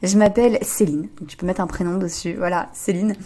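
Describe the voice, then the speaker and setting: Speaking in a medium pitch, a woman keeps to a moderate pace. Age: 20s. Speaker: relationship coach and podcaster. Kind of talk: podcast monologue. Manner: hesitant, many fillers.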